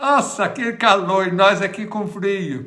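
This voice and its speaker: A man's raised, projected voice, high in pitch with ordinary pitch variation, in a room with audible echo. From Minas Gerais, Brazil. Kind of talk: livestream chat and prayer. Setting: livestream at home. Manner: casual, chatty.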